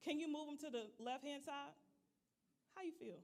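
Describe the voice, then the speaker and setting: A woman speaks loudly at a high pitch. Her tone is animated and her pace moderate. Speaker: leadership trainer. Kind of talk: leadership training talk.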